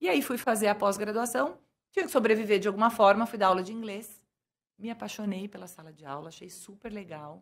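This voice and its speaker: A woman speaks in an ordinary speaking voice at medium pitch, talking at a fairly quick pace with lively intonation and big swings in loudness. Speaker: businesswoman and bilingual school owner. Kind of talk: interview.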